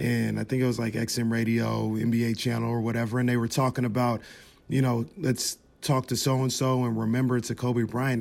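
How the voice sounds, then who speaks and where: A man with an American accent, an ordinary speaking voice, medium pitch. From Sacramento, California. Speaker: sports podcast host. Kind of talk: casual chat.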